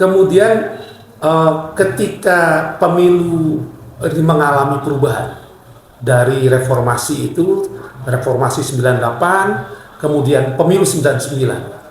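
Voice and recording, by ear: Strong room echo surrounds a man speaking at a moderate pace in a fairly high pitch, with ordinary pitch variation.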